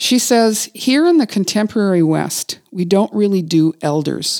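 Speaking fairly slowly in a Canadian accent, a woman with a plain, everyday voice of medium pitch uses lively intonation in a very clean, dry, close recording with no echo and a silent background. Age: 50s. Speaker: podcast host, writer and executive coach. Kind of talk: casual conversation between friends.

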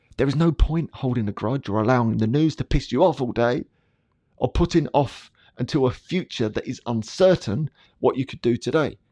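In a dry, close sound with no echo and a quiet background, a man with an English accent speaks at a fairly slow pace in a dark, mellow tone, his medium pitch showing ordinary variation. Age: 40s. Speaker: podcast host and coach. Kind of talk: personal reflection monologue.

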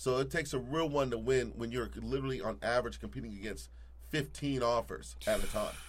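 Audible room echo surrounds a man who talks fairly quickly. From Alaska (Anchorage). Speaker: real estate agent. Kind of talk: casual interview.

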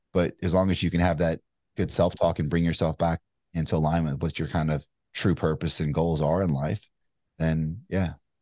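With an American accent, a man speaks at a moderate pace in a very deep, low pitch, his intonation monotone and flat and his loudness very even, the sound dry and close with no echo over a quiet background. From Kentucky, US South. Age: 40s. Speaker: entrepreneur and author. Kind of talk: interview conversation. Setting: remote call. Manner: casual with frequent fillers.

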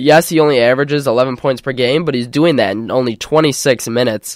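A man with an ordinary speaking voice, fairly high in pitch with ordinary variation, in a very clean recording with a silent background. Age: 20s. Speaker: college radio sports host. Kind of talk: sports talk show. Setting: studio.

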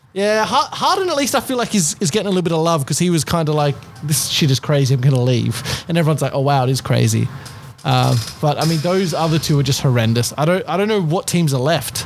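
Over background music, a man with a fairly high voice talks very fast, his intonation lively and his loudness very even. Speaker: co-host.

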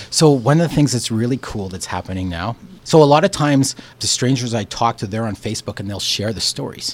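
A man with a Canadian accent and an ordinary speaking voice, medium in pitch, fairly quick, with lively intonation and big swings in loudness. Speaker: community storytelling project founder. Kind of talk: radio interview.

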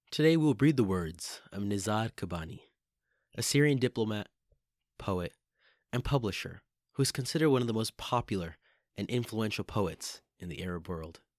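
A man's warm tone with lively intonation, moderate pace and long, frequent pauses, in a very clean, dry, close recording with a silent background and no echo. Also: fairly low pitch for a man. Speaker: poetry podcast host. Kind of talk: poetry reading, performed aloud in a hushed, intimate, theatrical tone. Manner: formal, warm, ceremonial host patter.

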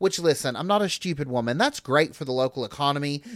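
A man with an East Tennessee accent speaks at a fairly high pitch. The recording is very clean, with a silent background. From rural East Tennessee (Newport, Cocke County). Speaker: coffee shop owner and drag performer. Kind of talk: casual chat.

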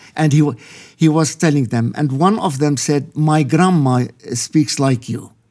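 The voice has a dark, mellow tone, ordinary pitch variation and a fairly slow pace, in a very clean recording with a silent background. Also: man, fairly high pitch for a man. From Lebanon. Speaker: pastor. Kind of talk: interview testimony. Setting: studio. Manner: halting.

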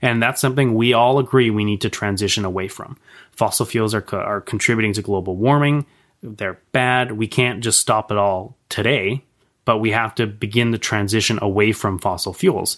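Speaking with a Canadian accent, a man holds a moderate pace with fairly even intonation and a fairly low pitch. The recording is very clean, with no background sound at all. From Canada, Victoria BC. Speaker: political campaign manager. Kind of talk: interview. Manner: halting, frequent repetitions.

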